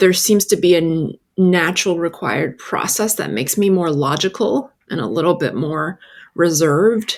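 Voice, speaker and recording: A woman's fairly low-pitched voice with lively intonation at a moderate pace. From China, raised in New York City from age 7. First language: Chinese. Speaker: author. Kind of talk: interview. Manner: halting, with small restarts.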